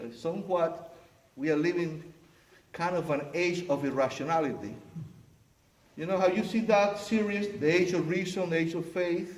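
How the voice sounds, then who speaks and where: Amid audible room echo, a man with a high pitch speaks at a moderate pace, varying his pitch in an ordinary way and leaving long, frequent pauses. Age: 60s. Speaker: pastor. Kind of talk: sermon.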